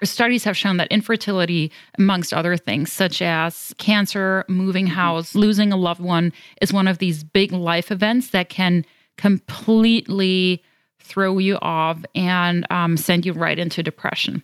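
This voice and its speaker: With a European accent, the speaker goes at a fairly slow pace with fairly even intonation, in a dry, close sound with no echo. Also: woman, medium pitch for a woman, very clean recording, silent background. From Germany. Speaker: fertility coach. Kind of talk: interview.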